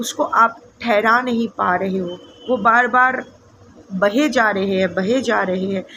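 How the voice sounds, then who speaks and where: Over noticeable background noise, a woman with a slight non-native accent talks at a fairly high pitch with ordinary pitch variation. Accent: slightly non-fluent Hindi. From India, Bengal. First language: Bengali (speaking Hindi). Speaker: tarot reader. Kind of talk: casual spiritual talk to camera. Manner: hesitant, many fillers.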